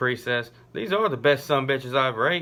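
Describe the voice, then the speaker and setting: Using an ordinary speaking voice, a man talks at a fairly quick pace and medium pitch with lively intonation. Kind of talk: joke telling. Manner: casual storytelling.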